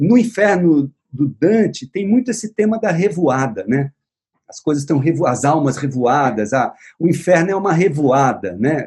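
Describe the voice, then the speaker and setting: This man talks at a moderate pace in a fairly high pitch, his voice making very wide pitch swings. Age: 60s. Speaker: visual artist and writer. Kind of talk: casual chat. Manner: halting.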